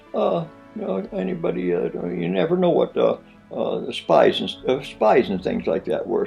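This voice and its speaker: A man's speech moves at a moderate pace. Behind him, music plays. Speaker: Korean War army veteran. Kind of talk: interview answer.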